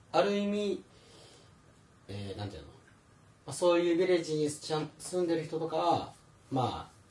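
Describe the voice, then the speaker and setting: Amid noticeable background noise, a man with a fairly high pitch speaks at a moderate pace, pausing long and often. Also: lively intonation. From Philippines (Manila), half Filipino. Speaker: podcast host. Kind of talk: casual chat.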